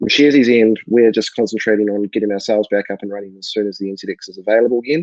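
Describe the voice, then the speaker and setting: Talking at a very fast pace with a New Zealand accent, a man keeps a fairly low pitch and fairly even intonation. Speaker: co-founder and webinar host. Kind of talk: live webinar introduction. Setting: live online webinar.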